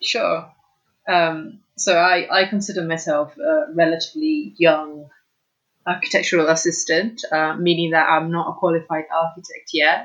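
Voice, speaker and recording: A woman with a British accent, fairly low in pitch, at a moderate pace with ordinary pitch variation. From Italy. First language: Italian. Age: 20s. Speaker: architectural assistant. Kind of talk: interview conversation.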